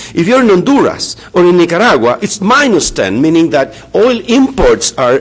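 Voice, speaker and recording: This man has a Spanish accent. Noticeable background noise can be heard. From Chile. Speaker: economics professor. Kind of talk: conference talk. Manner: halting, many fillers.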